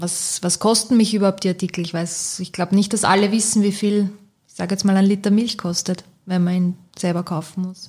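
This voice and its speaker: Somewhat breathy and dark, mellow in tone, a woman's medium-pitched voice moves at a fairly quick pace with monotone, flat intonation. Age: 30s. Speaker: bank marketing employee. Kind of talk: casual chat.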